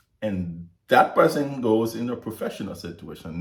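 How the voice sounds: Audible room echo surrounds a man as he speaks.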